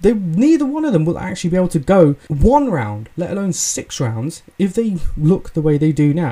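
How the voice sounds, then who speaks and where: Someone with an English accent speaks at a moderate pace with hardly any pauses. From England. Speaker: podcast host. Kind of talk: casual solo commentary. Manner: hesitant, many fillers.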